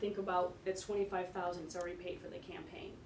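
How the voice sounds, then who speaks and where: The woman's medium-pitched voice comes with audible room echo. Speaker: tourism marketing executive. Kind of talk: presentation at village board meeting. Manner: fast.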